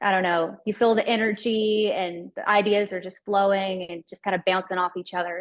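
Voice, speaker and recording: A woman talks at a moderate pace in a Southern US accent, her medium pitch held in a monotone, flat intonation. Her loudness swings widely, and she hardly pauses at all. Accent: Southern American. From US South. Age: 20s. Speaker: country singer. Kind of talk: interview. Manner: casual, chatty.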